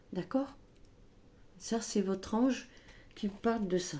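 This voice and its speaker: A soft-spoken woman at medium pitch, very slow in pace, with ordinary pitch variation and a dark, mellow tone. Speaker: tarot and oracle card reader. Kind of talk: spiritual guidance reading. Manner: hesitant, filler-heavy.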